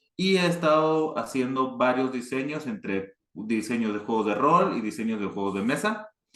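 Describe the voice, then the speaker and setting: A man with a northern Mexican accent and medium pitch speaks at a moderate pace with very wide pitch swings and hardly any pauses. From northern Mexico, Chihuahua. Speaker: board game designer. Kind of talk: panel talk. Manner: hesitant, many fillers.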